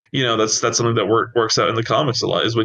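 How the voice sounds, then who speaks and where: Medium-pitched male voice. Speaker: podcast co-host, writer. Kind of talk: casual chat. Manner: fast; animated.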